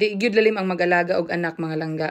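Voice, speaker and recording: A woman's plain, everyday voice at a fairly quick pace, with ordinary pitch variation. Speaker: vlogger and new mother. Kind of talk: vlog narration.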